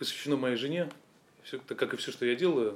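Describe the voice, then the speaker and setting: Pitch variation here is ordinary. The voice belongs to a man. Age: 40s. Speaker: fitness business owner. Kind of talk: interview.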